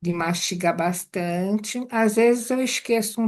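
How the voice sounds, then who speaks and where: Against a quiet background, a woman speaks fairly slowly at a medium pitch with fairly even intonation. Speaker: meditation course student. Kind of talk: group sharing in a class.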